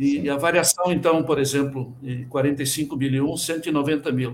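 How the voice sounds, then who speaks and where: This man has an ordinary speaking voice, fairly high pitch and a fairly slow pace. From Rio Grande do Sul, Brazil. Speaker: quality management consultant and auditor. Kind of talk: interview.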